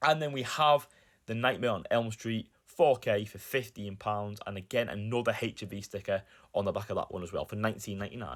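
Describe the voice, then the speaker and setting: Recorded very cleanly against a silent background, a man speaks at a moderate pace with lively intonation and big swings in loudness. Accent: Lancashire. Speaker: YouTuber, film collector. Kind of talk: vlog narration.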